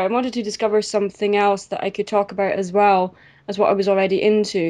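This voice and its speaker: A woman's fairly high voice in a Scottish accent, dark and mellow in tone, over a quiet background. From Scotland. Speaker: YouTube reviewer and artist. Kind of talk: casual interview. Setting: video call. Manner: hesitant, many fillers.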